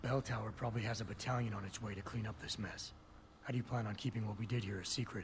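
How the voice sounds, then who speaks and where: Putting on a raspy character voice, a man rattles along at a very fast pace, medium pitch and fairly even intonation, with clear background noise behind him. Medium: video game. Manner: gruff, terse.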